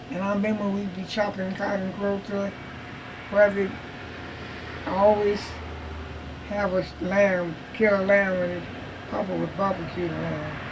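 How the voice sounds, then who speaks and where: Through noticeable background noise, a woman at medium pitch talks at a moderate pace in a monotone, flat way, with long, frequent pauses. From Texas. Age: 80s+. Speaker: retired state cook. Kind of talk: interview answer.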